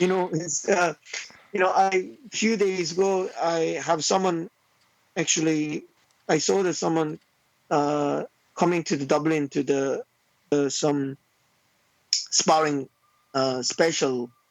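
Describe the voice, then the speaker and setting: Delivered very slowly, the speech has ordinary pitch variation and frequent, long pauses. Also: man, fairly high pitch for a man. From South Korea. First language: Korean. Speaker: taekwondo master. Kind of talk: podcast interview. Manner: halting.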